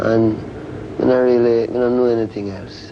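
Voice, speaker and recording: A moderate pace in a Jamaican accent, with noticeable background noise. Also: man. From rural Jamaica, Saint Ann. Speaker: reggae musician. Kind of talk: TV interview answer.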